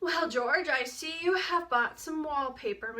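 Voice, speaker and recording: A woman puts on a character voice at an extremely high pitch. Her intonation is lively and her pace moderate. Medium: read story. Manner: jovial, blunt.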